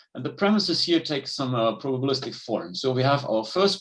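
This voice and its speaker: At a medium pitch, a man talks at a fairly quick pace with lively intonation. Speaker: conference speaker, logic researcher. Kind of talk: academic conference talk. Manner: fast.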